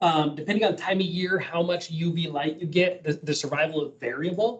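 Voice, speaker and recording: This man has a high pitch. He talks at a fairly quick pace. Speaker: animal health expert briefing committee. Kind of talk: briefing at public meeting. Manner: fast.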